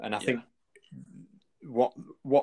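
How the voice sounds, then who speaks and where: A man talks with a Manchester accent in a dry, close sound with no echo. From northern England, near Manchester. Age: 20s. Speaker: clothing company founder and former police officer. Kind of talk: interview conversation.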